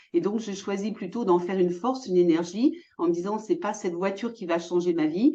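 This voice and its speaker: A woman with a dark, mellow tone speaks at a medium pitch and moderate pace, with ordinary pitch variation. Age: 60s. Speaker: entrepreneur, former physiotherapist. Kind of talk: interview.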